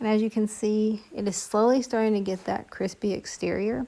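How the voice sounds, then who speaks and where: A woman talks at a fairly slow pace with a fairly high pitch. Her tone is dark and mellow. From Appalachia. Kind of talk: cooking tutorial voice-over.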